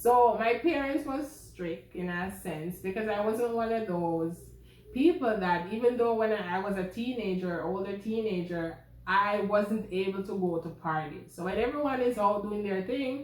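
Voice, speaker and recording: Noticeable background noise and audible room echo fill the recording. A woman with a medium pitch speaks with lively intonation. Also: moderate pace. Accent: Jamaican. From Jamaica. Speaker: vlogger. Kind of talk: personal vlog storytelling.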